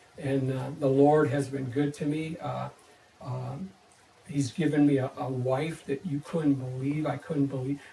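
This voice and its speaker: Against noticeable background noise, a man with a fairly high pitch talks in a monotone, flat intonation at a fairly slow pace. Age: 50s. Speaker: teacher giving church testimony. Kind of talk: testimony. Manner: halting, many fillers and restarts.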